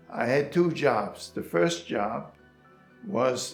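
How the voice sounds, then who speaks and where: Very wide pitch swings from a man at a very slow pace, with music in the background. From Germany. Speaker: Holocaust survivor. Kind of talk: interview answer.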